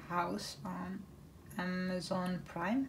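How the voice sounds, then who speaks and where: A woman speaks with a Dutch accent. The recording has noticeable background noise and an audible room echo. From northern Netherlands, Groningen. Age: 20s. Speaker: craft YouTuber. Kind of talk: casual chat. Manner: hesitant, many fillers.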